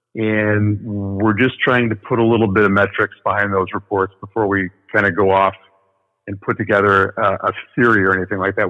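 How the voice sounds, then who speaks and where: In a Midwestern American accent, a man speaks at a fairly quick pace and fairly low pitch with monotone, flat intonation. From US Midwest, northern Illinois. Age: 50s. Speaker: paranormal researcher. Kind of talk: interview.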